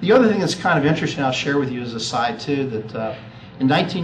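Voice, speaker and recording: There is noticeable background noise and audible room echo. A man with medium pitch talks at a very fast pace. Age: 50s. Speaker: accountant and family business advisor. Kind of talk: talk to an audience.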